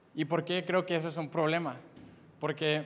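The man's pitch is fairly high. His intonation is monotone and flat. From Mexico, Monterrey, Nuevo León. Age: 20s. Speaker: youth preacher. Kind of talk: sermon. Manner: halting, frequent repetitions.

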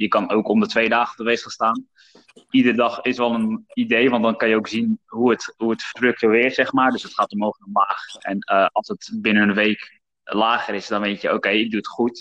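The recording is dry and close, with no echo. A man speaks over it at a fairly quick pace. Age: 20s. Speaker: podcast host and former personal trainer. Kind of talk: casual chat.

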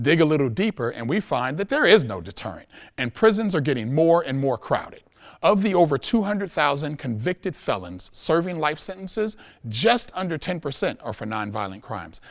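The speaker talks at a fairly quick clip with vocal fry and very wide pitch swings. The recording is very clean, with a silent background. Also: man, fairly high pitch for a man. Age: 40s. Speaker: public speaker, educator. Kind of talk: prepared talk to audience. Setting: stage with audience. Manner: formal.

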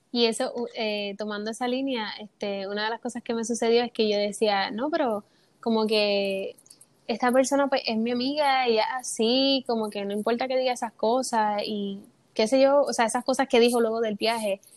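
A woman with an ordinary speaking voice talks at a moderate pace over a quiet background. Her pitch is fairly high and her intonation fairly even. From Puerto Rico. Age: 20s. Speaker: theatre student and actress. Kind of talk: personal testimony in casual interview.

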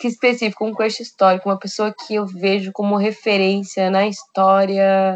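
Monotone, flat intonation from a woman at medium pitch. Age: 20s. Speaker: university student. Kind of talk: casual chat.

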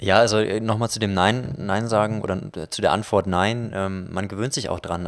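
A man speaks at a moderate pace with fairly even intonation and a plain, everyday voice. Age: 20s. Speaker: filmmaker. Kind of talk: casual interview.

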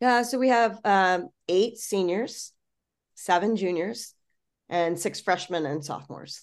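A woman with an ordinary speaking voice, medium in pitch, with an American accent, ordinary pitch variation and a fairly slow pace, against a quiet background. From Florida. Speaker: college gymnastics head coach. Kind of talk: casual interview.

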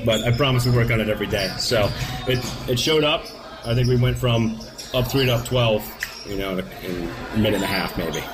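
Music plays in the background as a man at medium pitch talks at a fairly quick pace with fairly even intonation and long, frequent pauses. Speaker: high school basketball coach. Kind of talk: pregame interview.

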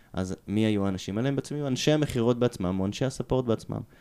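A man's dark, mellow tone at medium pitch, with lively intonation. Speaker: product management consultant. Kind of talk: interview. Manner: halting.

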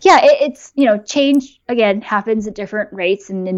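A woman talks with a Californian accent. Her pace is fairly quick. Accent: Californian American English. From California, US. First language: bilingual Japanese and English. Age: 20s. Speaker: YouTube creator and software engineer. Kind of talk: casual interview. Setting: live stream.

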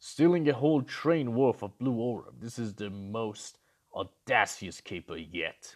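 Against a quiet background, a man puts on a character voice at a medium pitch and a moderate pace. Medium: read story. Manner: cocky, gloating.

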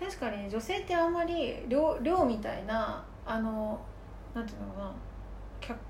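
A woman with a fairly high voice speaks at a moderate pace, her pitch swinging very widely between long, frequent pauses. Audible room echo and noticeable background noise are present. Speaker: podcast co-host. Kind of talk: casual chat.

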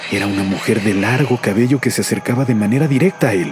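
There is music in the background. Over it, a man speaks at a fairly quick pace. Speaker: radio announcer narrating a legend. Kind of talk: scripted ghost story narration.

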